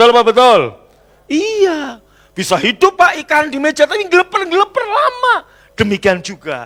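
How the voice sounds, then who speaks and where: A man with an extremely high, bright, sharp voice and an animated tone, very wide pitch swings, a moderate pace, and a dry, close sound with no echo. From Central Java, Indonesia. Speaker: pastor. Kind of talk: sermon. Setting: church.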